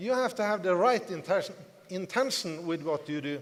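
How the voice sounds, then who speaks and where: This speaker talks with a non-native accent. The pitch varies in an ordinary way. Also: man. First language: not English. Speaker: network marketing distributor, motivational speaker. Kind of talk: business seminar talk to audience. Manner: repetitive, emphatic.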